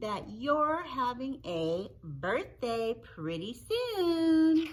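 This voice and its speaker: A woman uses a put-on, high-pitched character voice at a very slow pace. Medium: read story. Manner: warm, hearty.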